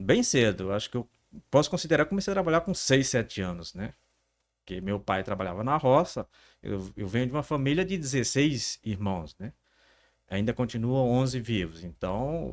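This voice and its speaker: On a very clean recording with a silent background, a man speaks at a medium pitch. His moderate delivery carries very wide pitch swings. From northern Brazil, Pará (Altamira). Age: 40s. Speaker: entrepreneur. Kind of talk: interview. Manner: halting, repeats words.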